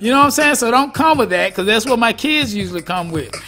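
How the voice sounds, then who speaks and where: Over music in the background, a man speaks in a raised, projected voice with an animated tone. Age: 40s. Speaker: radio show host and rapper. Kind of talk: casual radio talk.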